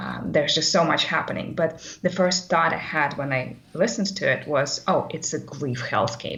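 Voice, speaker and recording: A woman with a non-native accent speaks at a moderate pace in a fairly low voice. She hardly pauses at all. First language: not English. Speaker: course participant. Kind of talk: live webcast discussion. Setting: live webcast. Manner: halting, many fillers.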